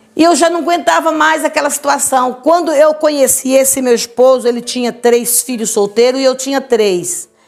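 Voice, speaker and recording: At a moderate pace with hardly any pauses, a woman speaks in a high, animated voice with ordinary pitch variation. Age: 70s. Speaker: church preacher giving testimony. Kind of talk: testimony.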